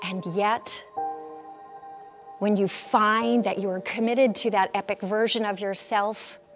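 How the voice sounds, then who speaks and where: Music plays in the background as a woman of medium pitch speaks at a very slow pace with fairly even intonation. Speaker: keynote speaker and executive coach. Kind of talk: motivational keynote talk.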